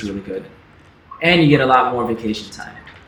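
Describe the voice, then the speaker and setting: Somewhat breathy male voice with an American accent and lively intonation, with audible room echo. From US South. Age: 30s. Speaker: YouTuber. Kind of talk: livestream Q&A chat. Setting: livestream. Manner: casual, relaxed.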